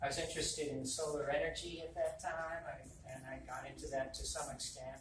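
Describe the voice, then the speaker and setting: A man talks fairly quickly in an American accent, with audible room echo and noticeable background noise in the recording. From Massachusetts. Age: 60s. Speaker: political candidate. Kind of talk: campaign talk.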